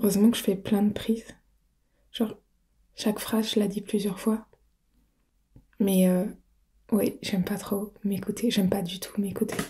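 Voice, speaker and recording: A woman speaks in a somewhat breathy, dark, mellow tone at a fairly slow pace. Her intonation is monotone and flat, broken by long, frequent pauses. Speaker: audio roleplay creator. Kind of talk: casual Q&A talk. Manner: soft-spoken.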